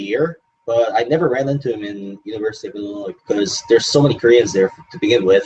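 A man at medium pitch, talking at a very fast pace with music in the background. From Hong Kong. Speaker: game show contestant. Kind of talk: interview.

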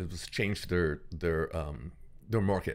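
A man speaks in a bright, sharp tone. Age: 60s. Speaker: actor and care actor who plays patients for doctors. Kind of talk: casual interview. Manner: halting, many fillers and repeated words.

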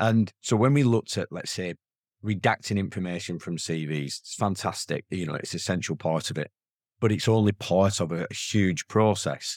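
In a very clean recording with a silent background and a dry, close sound free of echo, a man with a strong northern English accent speaks at a moderate pace with ordinary pitch variation. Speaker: software company founder. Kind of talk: casual interview.

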